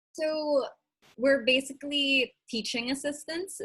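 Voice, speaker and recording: A woman speaks with a Filipino accent at a fairly slow pace. Her tone is bright and sharp. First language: Tagalog. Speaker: vlogger and small business owner. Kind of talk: casual interview.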